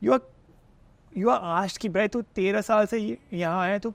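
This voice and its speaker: Speech in an Indian accent comes at a moderate pace with ordinary pitch variation, dry and close with no echo, against a quiet background. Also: man. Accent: Indian accent, local diction. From India, Kolkata. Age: 30s. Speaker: health content creator. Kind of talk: podcast interview. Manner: mixes Hindi and English.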